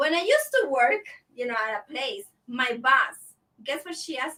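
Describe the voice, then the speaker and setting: A woman with a high pitch uses a raised, projected voice with a bright, sharp tone. She speaks at a moderate pace, with very wide pitch swings and big swings in loudness. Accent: Latin American. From Latin America. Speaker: guest. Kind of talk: casual chat.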